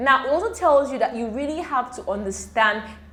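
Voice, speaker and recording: The speaker has a Nigerian accent and ordinary pitch variation. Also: woman. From Nigeria (Igbo). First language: Igbo. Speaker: medical student youtuber. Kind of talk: tutorial. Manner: casual, hesitant with fillers.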